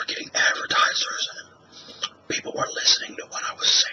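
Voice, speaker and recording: Someone whispers at a moderate pace. There is noticeable background noise. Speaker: ASMR artist and former radio talk show host. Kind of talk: ASMR whisper talk to camera. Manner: whispered.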